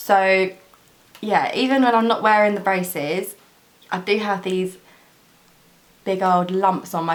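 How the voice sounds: A woman speaks at a medium pitch. Audible echo from the room surrounds her voice.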